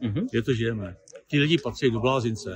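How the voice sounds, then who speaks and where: A man speaks at a very fast pace in a somewhat breathy voice. The sound is dry with no echo, over light background noise. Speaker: event attendee. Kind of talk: interview. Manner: animated. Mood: indignant, opinionated. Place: garden. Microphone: phone near.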